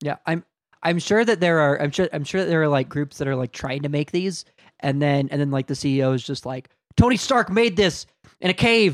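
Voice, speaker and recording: In an ordinary speaking voice, a man talks at a fairly quick pace with fairly high pitch and lively intonation, the recording very clean with a silent background and a dry, close sound with no echo. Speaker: podcast co-host. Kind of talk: casual banter.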